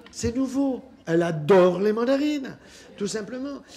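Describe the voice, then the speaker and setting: Over audible room echo and noticeable background noise, a man speaks at a fairly slow pace in an animated tone, at an extremely high pitch with very wide pitch swings. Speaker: physician. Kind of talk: public talk.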